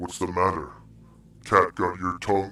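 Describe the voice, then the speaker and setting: A gravelly, put-on character voice speaks at a moderate pace. The recording is very clean, with a silent background. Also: man. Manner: taunting.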